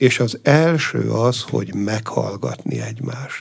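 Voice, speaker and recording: A man speaks at a medium pitch with ordinary pitch variation and a somewhat breathy sound. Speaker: abbot. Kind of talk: radio interview. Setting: studio.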